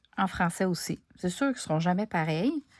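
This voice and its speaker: In a Quebec accent, a woman speaks with ordinary pitch variation in a very clean recording with a silent background. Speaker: crafting YouTuber. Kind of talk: craft tutorial; casual chat to viewers. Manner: casual, conversational with hesitations.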